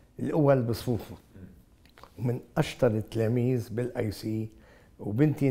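The voice has a Beirut accent and a dark, mellow tone. The pace is fairly slow. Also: man. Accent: Lebanese Arabic, Beirut. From Lebanon, Beirut; Lebanon. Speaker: engineer and businessman; interview guest. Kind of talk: interview. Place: studio. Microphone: lapel.

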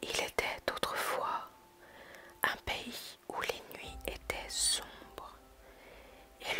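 The voice is whispering. Noticeable background noise runs underneath. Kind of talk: whispered ASMR story reading. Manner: whispered.

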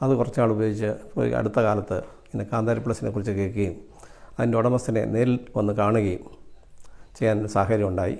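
This is an unremarkable speaking voice from a man. His pitch is fairly low and his intonation fairly even. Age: 60s. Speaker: customer and product distributor. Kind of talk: testimony.

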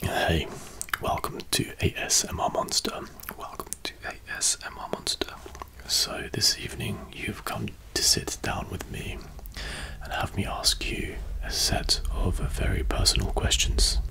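A man whispering at a fairly slow pace with long, frequent pauses. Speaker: ASMR creator. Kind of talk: soft-spoken ASMR roleplay questions. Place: home room. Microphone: studio mic.

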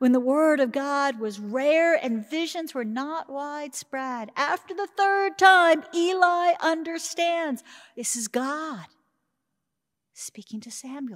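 Against a quiet background, a woman speaks very slowly in a high pitch. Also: big swings in loudness. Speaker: preacher. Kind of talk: sermon. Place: church. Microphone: podium.

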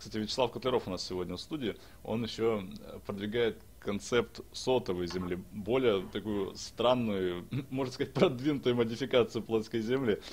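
A man is talking at a moderate pace. His pitch varies in an ordinary way. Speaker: broadcast host. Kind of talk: online panel discussion. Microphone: video call.

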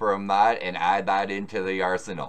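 This man has an unremarkable speaking voice, fairly low in pitch, and moves at a moderate pace. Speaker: music reaction channel host. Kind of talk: commentary.

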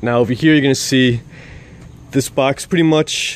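Dry sound with no echo, a man talking at a moderate pace. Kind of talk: tutorial. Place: street. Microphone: phone near.

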